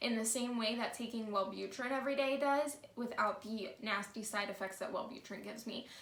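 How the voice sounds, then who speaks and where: Her fairly high voice comes at a fairly quick pace, with audible room echo around the woman speaking. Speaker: vlogger. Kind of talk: storytime monologue. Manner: casual, conversational; stutter.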